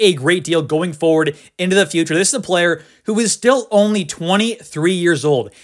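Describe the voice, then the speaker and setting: The speaker is loud, with an excited tone, at a fairly quick pace. The recording is very clean, with a silent background. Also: man. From Canada. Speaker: sports YouTuber. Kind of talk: casual commentary video. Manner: loud, excited.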